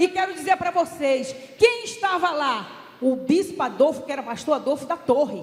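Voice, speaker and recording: A woman speaks with lively intonation and a high pitch. Her pace is moderate. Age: 60s. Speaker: church delegate, former education secretary. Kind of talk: assembly speech. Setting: church council plenary. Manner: impassioned.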